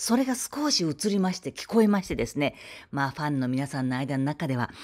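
A woman's very deep, low voice at a very fast pace, with very wide pitch swings, in a dry, close sound with no echo. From Kobe, Japan. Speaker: former TV announcer. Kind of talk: casual vlog talk to camera. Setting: outdoors.

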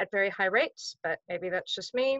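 Against a quiet background, a woman speaks at a fairly quick pace with ordinary pitch variation in a dry sound with no echo. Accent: American. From US. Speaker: theatre professional. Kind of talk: panel talk. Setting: video call. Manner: angry. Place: home room. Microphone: video call.

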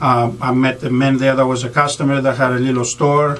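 A man talks with a Greek accent. His intonation is monotone and flat. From Greece. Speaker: county treasurer and political candidate; candidate. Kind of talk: radio interview. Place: studio.

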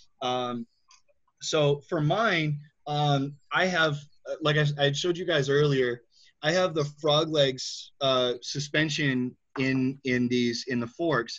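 The speaker has an American accent and moves at a very slow pace. The intonation stays fairly even. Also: man. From Michigan. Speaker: wheelchair skills instructor. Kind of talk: tutorial.

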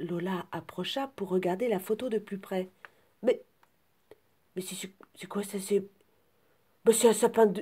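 A woman's somewhat breathy, dark and mellow voice at medium pitch, very slow, with long, frequent pauses and big swings in loudness. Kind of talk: scripted storytelling, children's tale read aloud with character voices. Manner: animated, playful, sing-song, exaggerated comic intonation.

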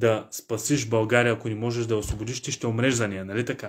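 Against a quiet background, a man speaks in a flat monotone. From Bulgaria. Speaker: history teacher and online lecturer; history teacher, online lecturer. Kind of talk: online lecture. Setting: live online stream from office. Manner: emotional, passionate. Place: home room. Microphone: phone near.

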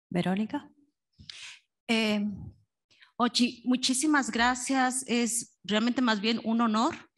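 A woman's high-pitched voice, very slow with long, frequent pauses, fairly even intonation and very even loudness, over a quiet background. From Mexico. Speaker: audience member asking question. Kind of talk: Q&A question.

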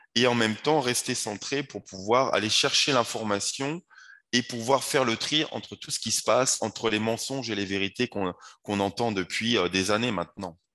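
The background is quiet as a man speaks. His tone is bright and sharp, with ordinary pitch variation. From France, Paris. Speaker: wellness coach and yoga teacher; coach being interviewed. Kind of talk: interview. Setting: video call. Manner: halting, repeats words. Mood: calm, earnest. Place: home room.

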